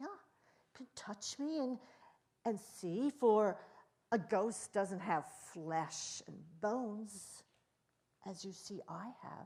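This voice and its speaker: A woman's fairly high, somewhat breathy voice with lively intonation, a very slow pace, and long, frequent pauses. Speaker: Biblical storyteller. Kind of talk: Bible storytelling, conversational retelling.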